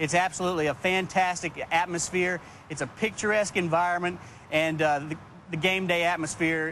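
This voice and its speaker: Fairly even intonation and a bright, sharp tone come through in a Texan accent at a moderate pace. The sound is dry with no echo, over light background noise. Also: man. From Texas. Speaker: tailgating association representative. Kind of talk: TV interview. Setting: TV studio. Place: street.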